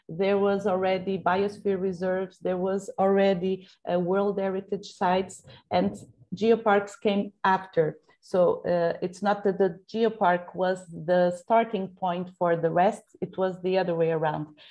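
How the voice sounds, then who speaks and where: A woman's monotone, flat voice at medium pitch and a fairly slow pace, in a Portuguese accent. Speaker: geopark representative. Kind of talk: Q&A at online conference. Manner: halting, many fillers.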